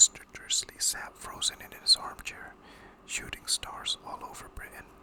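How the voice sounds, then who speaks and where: A whisper at a fairly slow pace, over noticeable background noise. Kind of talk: ASMR audiobook reading of a novel. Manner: whispered, soft, relaxing.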